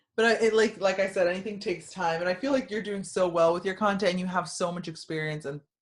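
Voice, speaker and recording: This woman's voice sits at a fairly low pitch. Her pitch varies in an ordinary way. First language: Spanish. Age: 20s. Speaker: YouTuber and social media marketer. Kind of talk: casual chat.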